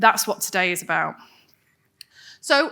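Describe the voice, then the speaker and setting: Fairly high and lively in intonation, a woman's voice comes through with an English accent. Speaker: wellbeing coach and speaker. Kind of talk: presentation to audience. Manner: fast; animated.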